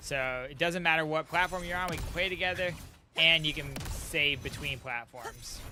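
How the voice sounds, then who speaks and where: Music plays in the background as a man talks at a moderate pace. His voice is fairly high-pitched, with ordinary pitch variation. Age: 30s. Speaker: gaming streamer. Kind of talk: casual live stream chat. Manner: animated.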